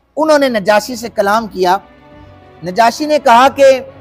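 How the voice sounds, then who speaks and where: Against music in the background, a man speaks in a high-pitched voice with ordinary pitch variation. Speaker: Islamic scholar giving a lecture. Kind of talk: religious lecture retelling a historical story.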